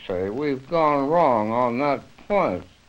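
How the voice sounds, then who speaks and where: There is an American accent in this man's speech. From United States. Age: 80s+. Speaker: author and interpretation theorist. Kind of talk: interview answer. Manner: hesitant, reflective. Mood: thoughtful, reflective. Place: home room. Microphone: old recording.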